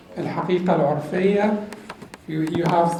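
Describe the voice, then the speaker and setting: A man with a high voice speaks fairly slowly. Room echo is audible, and background noise is noticeable. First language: Arabic. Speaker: Islamic studies teacher. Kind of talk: lecture.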